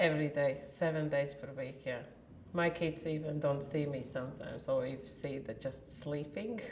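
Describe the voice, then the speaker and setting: A woman with a Latvian accent speaks at a very deep, low pitch and moderate pace, with fairly even intonation. Audible room echo and noticeable background noise fill the recording. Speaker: warehouse worker. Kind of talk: interview.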